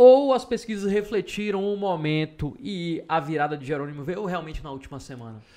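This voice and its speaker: Barely pausing, a man talks at a fairly quick pace in a high pitch with a dark, mellow tone, very wide pitch swings and big swings in loudness. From Salvador, Bahia, Brazil. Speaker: podcast host and journalist. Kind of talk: interview.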